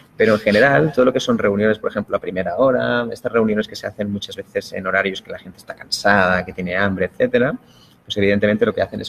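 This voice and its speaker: A man talking at a very fast pace, dry and close with no echo. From Spain. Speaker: productivity expert. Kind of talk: interview.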